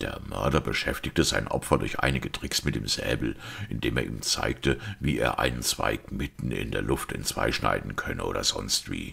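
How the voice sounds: A man in a put-on character voice speaks quietly at an extremely low pitch with ordinary variation, his bright, sharp tone carrying vocal fry and a slightly husky edge. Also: moderate pace.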